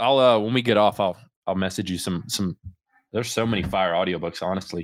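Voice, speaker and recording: A man speaks in a plain, everyday voice with a fairly low pitch and ordinary pitch variation at a fairly quick pace. The recording is very clean with a silent background. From Central Florida. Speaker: podcast host. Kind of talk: casual interview chat.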